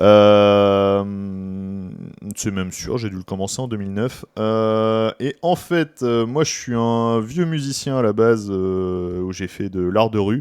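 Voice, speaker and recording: Very slow speech from a man with a fairly low pitch and ordinary pitch variation, against a quiet background. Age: 30s. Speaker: podcast co-host, youth activity leader and musician. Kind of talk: casual chat. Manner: hesitant, many fillers.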